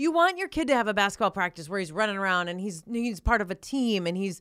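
A woman with an Upper Midwest accent talks at a very fast pace. The recording is very clean with a silent background, and the sound is dry and close with no echo. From North Dakota. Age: 40s. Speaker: sports broadcaster. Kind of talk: casual chat.

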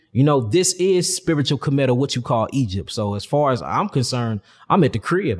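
A man's somewhat breathy voice at medium pitch with very wide pitch swings. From St. Louis, Missouri, US Midwest. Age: 30s. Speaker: holistic health teacher. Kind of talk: casual interview.

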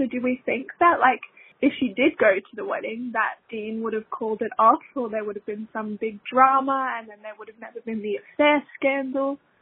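A woman with an Australian accent, high-pitched, at a moderate pace. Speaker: listener leaving a voicemail. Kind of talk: voicemail message.

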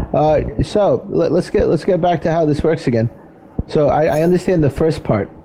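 Over noticeable background noise, a man with a fairly high pitch talks at a moderate pace and very even loudness. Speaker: radio host. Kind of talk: casual interview.

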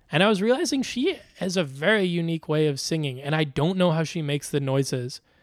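In a very clean recording with a silent background, a man talks at a fairly high pitch. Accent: American. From US Midwest, Chicago. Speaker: comedian. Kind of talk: casual chat. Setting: studio.

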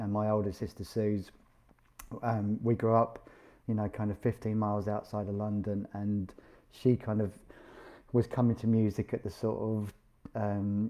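With a British accent, a man with a fairly low pitch talks at a moderate pace in a monotone, flat intonation. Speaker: podcast host and musician. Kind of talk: casual chat. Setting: video call.

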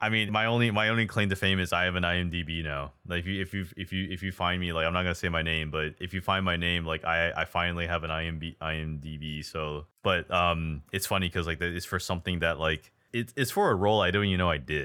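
Very fast male speech, very deep and low in pitch, with fairly even intonation and hardly any pauses. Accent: American. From United States. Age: 20s. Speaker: podcast host. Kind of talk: casual interview.

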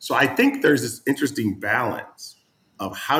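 A somewhat breathy male voice. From New England. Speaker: real estate entrepreneur. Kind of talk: casual chat.

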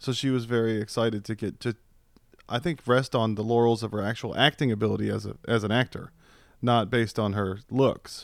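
A man uses a normal speaking voice at a medium pitch with fairly even intonation and a fairly quick pace. The recording is very clean, with a silent background. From US East Coast (Virginia/DC). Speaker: podcast co-host. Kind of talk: casual banter. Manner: joking, crude, banter.

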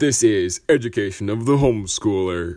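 A man puts on a character voice at a fairly low pitch. He moves along at a moderate pace. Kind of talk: mock-serious, announcer-like.

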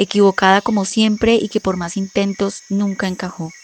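Speaking at a moderate pace and a medium pitch, a woman keeps a monotone, flat intonation over noticeable background noise. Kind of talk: reading aloud, editorial note and dedication.

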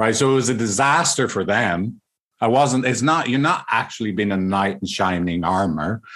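Speaking with an Irish accent, a man uses lively intonation. The background is quiet. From Ireland. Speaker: couples counselor. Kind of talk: casual interview.

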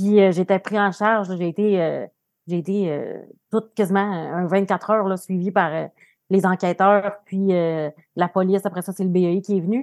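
A woman's medium-pitched voice, fairly slow and flat in a monotone. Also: very clean recording, silent background. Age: 30s. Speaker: social worker, partner of guest. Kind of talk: personal testimony.

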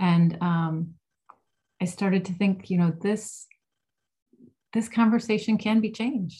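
A woman's dark, mellow, somewhat breathy voice at a fairly slow pace, with fairly even intonation and long, frequent pauses. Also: medium pitch for a woman. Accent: American. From Ohio, US Midwest. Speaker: music therapist and author. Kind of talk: interview.

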